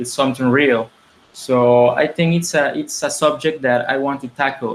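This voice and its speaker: A man speaks with a Spanish accent at a medium pitch, his intonation fairly even. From Mexico. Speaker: filmmaker. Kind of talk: interview. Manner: halting, many repetitions and fillers.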